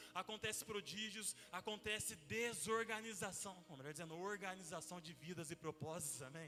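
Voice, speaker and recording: A man's raised, projected voice with ordinary pitch variation. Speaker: pastor. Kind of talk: sermon. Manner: fast.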